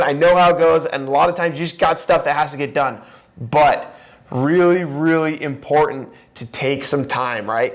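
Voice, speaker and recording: A man speaks loudly. His pitch sits fairly high. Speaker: podcast host. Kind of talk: podcast monologue.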